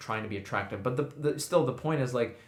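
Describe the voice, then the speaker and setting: The pitch moves in an ordinary way. There is audible echo from the room. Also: man. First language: not English. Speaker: podcast co-host. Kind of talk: casual chat.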